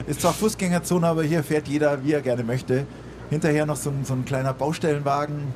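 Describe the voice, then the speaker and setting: Through noticeable background noise, a man talks very fast in a fairly high voice with fairly even intonation. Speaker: radio host. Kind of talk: live radio interview. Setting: outdoor stage with live audience.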